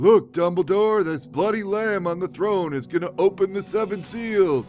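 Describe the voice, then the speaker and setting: A man puts on a character voice, pitched high and delivered at a moderate pace, with clear music playing in the background. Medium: solo performance. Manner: solemn, portentous.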